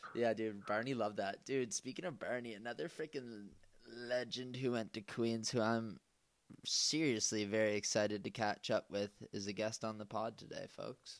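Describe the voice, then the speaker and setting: Here a man talks at a medium pitch. His pace is moderate. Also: very clean recording, silent background. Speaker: podcast host. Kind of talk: casual chat. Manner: animated.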